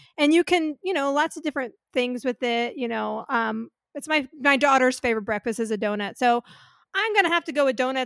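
In a very clean recording with a silent background and a dry, close sound with no echo, a woman talks at a high pitch and a fairly quick pace with ordinary pitch variation. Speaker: panelist. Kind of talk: casual chat.

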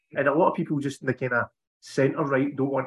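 The speaker is a man with a Scottish accent. His pitch is fairly high. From Scotland. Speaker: podcast host. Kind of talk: casual political chat.

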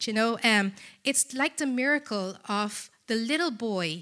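A woman with a Filipino accent and a bright, sharp tone speaks at a fairly high pitch with lively intonation on a very clean recording with a silent background. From Philippines. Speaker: charity representative. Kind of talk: church talk. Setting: church.

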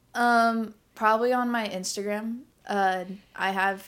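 On a very clean recording with a silent background, a woman with a Midwestern US accent speaks with fairly even intonation. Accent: US Midwest. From Indiana, Indianapolis. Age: 20s. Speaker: photographer and warehouse team lead. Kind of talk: casual chat.

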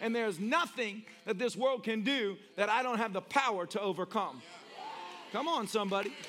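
A man with an American accent, high pitch, ordinary pitch variation and a moderate pace, over noticeable background noise. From US South, Tennessee. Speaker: pastor. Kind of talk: sermon. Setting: church with live audience. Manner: animated.

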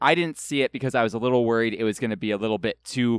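Recorded with a dry, close sound and no echo, a man talks with an American accent. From California. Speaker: guest podcaster. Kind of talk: casual chat.

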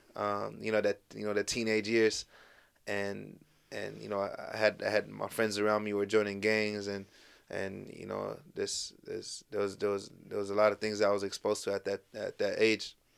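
A man with an American accent at a moderate pace, on a very clean recording with a silent background. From US Pacific Northwest, South Seattle. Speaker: spoken word artist and community organizer. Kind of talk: casual interview.

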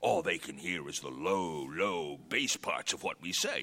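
A man's put-on character voice, low in pitch with a bright, sharp tone, lively intonation and a fairly slow pace.

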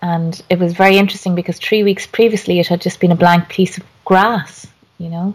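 Speaking in an Irish accent, a woman holds a medium pitch in a flat monotone. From Ireland. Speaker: garden designer and author. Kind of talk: interview conversation.

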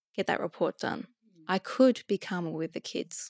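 The speaker has an Australian accent, lively intonation and some vocal fry. The sound is dry and close, with no echo. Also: woman, very clean recording, silent background. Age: 40s. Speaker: psychologist and coach. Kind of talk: interview.

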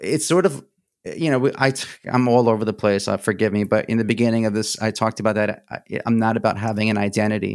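In an American accent, a man with a medium-pitched voice talks at a fairly quick pace on a very clean recording with a silent background. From New Jersey and Brooklyn, Greek family. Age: 40s. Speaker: songwriter and trained actor. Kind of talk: casual chat. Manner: halting, many fillers and repeats.

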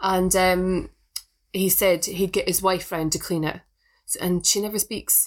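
Speaking with a Scottish accent, a woman keeps a fairly slow pace. Her medium-pitched voice has monotone, flat intonation. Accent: Scottish, smoother than Inverness. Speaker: podcast co-host. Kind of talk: casual chat. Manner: laughs a lot, chatty.

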